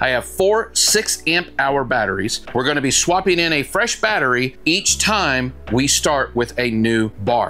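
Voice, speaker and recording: Faint music plays behind the speech. A man talks at a moderate pace. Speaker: tool reviewer. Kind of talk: product review tutorial. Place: garage. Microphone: lapel.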